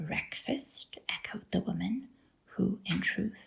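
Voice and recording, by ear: The passage is being read aloud. The delivery sounds natural.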